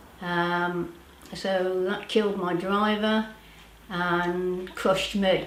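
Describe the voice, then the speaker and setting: A woman with a British accent speaks at a very slow pace and a medium pitch in a monotone, flat intonation. Audible room echo and noticeable background noise surround her voice. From Britain. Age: 70s. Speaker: powerlifter and nutrition practitioner. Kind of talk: interview testimony. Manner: hesitant, many fillers.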